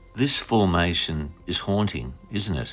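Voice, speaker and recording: With an Australian accent, a man speaks in a calm tone at a fairly slow pace. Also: very clean recording, silent background. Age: 60s. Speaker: vlogger. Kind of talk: reflective vlog narration. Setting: outdoors.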